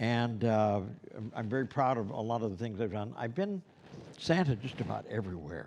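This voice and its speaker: Amid audible room echo, a man with an American accent talks at a fairly quick pace, his medium-pitched voice showing lively intonation. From Los Angeles, US. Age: 70s. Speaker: Santa performer and instructor. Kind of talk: lecture. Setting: classroom with live stream.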